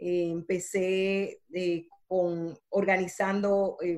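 This woman speaks at a medium pitch. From Dominican Republic. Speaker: entrepreneur and speaker. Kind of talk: interview.

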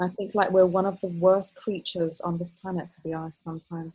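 With a British accent, a woman talks at a fairly quick pace in a monotone, flat delivery. Her voice is fairly low in pitch, somewhat breathy, and dark and mellow in tone. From UK (raised partly in Kuwait, Palestinian family). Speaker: creative director and trend strategist. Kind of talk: podcast interview.

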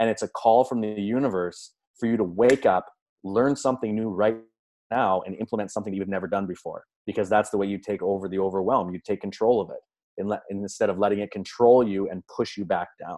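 At a fairly quick pace, a man speaks with a fairly low pitch and a dark, mellow tone. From Canada. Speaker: life coach and entrepreneur. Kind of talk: pep talk. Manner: animated; motivational.

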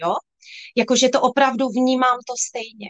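This woman talks in a high-pitched voice. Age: 40s. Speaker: sales director in direct-selling cosmetics, former nurse. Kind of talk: livestream interview.

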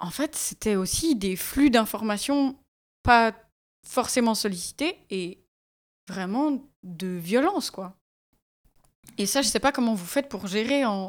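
Speaking very slowly, a woman leaves long, frequent pauses and uses lively intonation. The recording is very clean, with a silent background. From Switzerland, Valais. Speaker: podcast host. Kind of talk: casual chat. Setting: radio studio.

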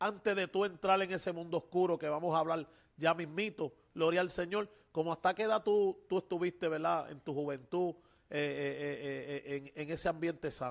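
With a high pitch for a man and ordinary pitch variation, this male speaker keeps a moderate pace. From Puerto Rico, Loíza. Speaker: pastor and podcast host. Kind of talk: religious interview. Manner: halting, many fillers.

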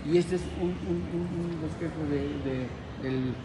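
A man is speaking with audible room echo. Noticeable background noise is present too. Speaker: market vendor and local historian. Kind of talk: interview.

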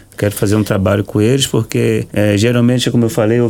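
Here a man speaks with a dark, mellow tone. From Brazil, Salvador, Bahia. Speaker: capoeira teacher. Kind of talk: radio interview.

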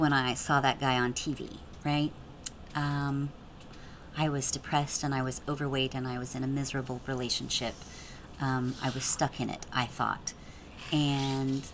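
Speaking at a moderate pace with long, frequent pauses, a woman uses a very deep, low pitch and monotone, flat intonation. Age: 40s. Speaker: pole dance studio owner and instructor. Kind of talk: interview. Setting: studio.

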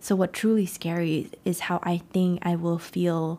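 A woman with a Vietnamese accent speaks at a fairly low pitch in a dark, mellow tone and monotone, flat intonation, on a very clean recording with a silent background. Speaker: podcast host and life coach. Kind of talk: solo motivational talk.

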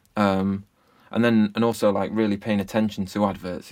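In an English accent, a man speaks with a fairly low pitch and a flat, monotone delivery. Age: 30s. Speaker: music producer. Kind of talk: casual interview chat.

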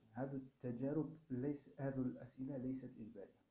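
Fairly slow, somewhat breathy speech with a dark, mellow tone and audible room echo. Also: man. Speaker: university lecturer. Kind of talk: lecture.

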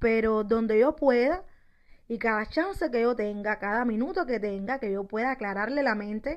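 A woman's unremarkable speaking voice, fairly high in pitch, with lively intonation on a very clean recording over a silent background. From Cuba, Santiago de Las Vegas (Havana). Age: 30s. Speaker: podcaster. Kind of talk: personal monologue.

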